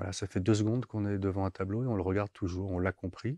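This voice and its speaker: A man speaks in a fairly low pitch with a dark, mellow tone and fairly even intonation. The sound is dry with no echo against a quiet background. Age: 50s. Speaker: visual artist; interviewee. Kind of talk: interview. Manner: halting. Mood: calm, reflective. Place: hall. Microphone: lapel.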